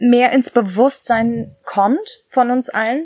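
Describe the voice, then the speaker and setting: A woman in a plain, everyday voice speaks at a fairly high pitch with ordinary pitch variation. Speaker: podcast host. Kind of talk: casual interview. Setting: garden office.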